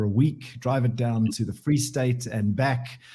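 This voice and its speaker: A man speaks fairly slowly with a dark, mellow tone and a somewhat breathy quality. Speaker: auto industry executive and weekly radio contributor. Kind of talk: radio chat segment.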